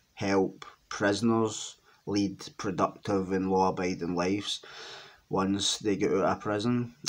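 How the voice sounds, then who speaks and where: A man with a Glaswegian accent, fairly low-pitched and fairly slow, monotone and flat, in a very clean recording with a silent background. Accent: Glaswegian Scottish. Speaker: ex-offender and criminology writer. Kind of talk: casual monologue to camera. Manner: hesitant, many fillers.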